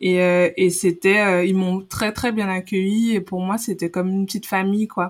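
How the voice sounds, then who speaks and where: Medium-pitched woman's voice, monotone and flat, at a moderate pace. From Guadeloupe. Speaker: former volleyball player and pharmacist. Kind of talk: casual interview.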